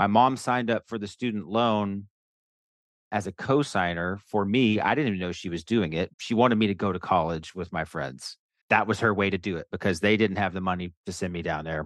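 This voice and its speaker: A man with a fairly low pitch talks at a fairly quick pace with ordinary pitch variation over a quiet background. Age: 40s. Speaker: guest seeking money coaching. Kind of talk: casual chat. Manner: halting.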